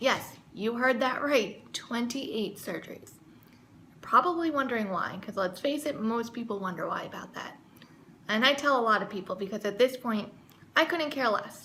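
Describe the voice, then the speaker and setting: A woman speaks at a moderate pace and a fairly high pitch with lively intonation and big swings in loudness. Noticeable background noise is present. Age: 20s. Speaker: vlogger. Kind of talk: casual talk to camera.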